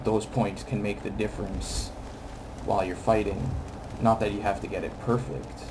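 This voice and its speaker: Over noticeable background noise, a man with a fairly low voice speaks at a moderate pace, using ordinary pitch variation and long, frequent pauses. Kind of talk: video game commentary. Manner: casual, hesitant.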